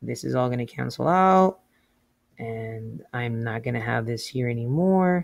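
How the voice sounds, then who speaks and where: An unremarkable speaking voice from a man, medium in pitch, fairly slow, with lively intonation. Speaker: math teacher. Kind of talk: tutorial. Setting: remote class, sharing whiteboard.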